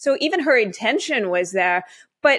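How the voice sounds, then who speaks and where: This woman has an unremarkable speaking voice with a Canadian accent. She talks at a moderate pace with a fairly high pitch. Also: very clean recording, silent background. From Canada. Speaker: author. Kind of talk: interview.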